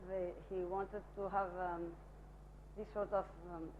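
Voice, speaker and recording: Spoken very slowly, the words carry audible room echo. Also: woman. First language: Spanish. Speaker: architect presenting own work. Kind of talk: lecture. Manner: halting, many fillers.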